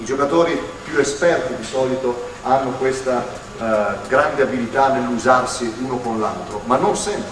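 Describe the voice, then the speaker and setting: Noticeable background noise and audible room echo around a man's voice. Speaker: basketball coach giving a clinic. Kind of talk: lecture. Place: hall.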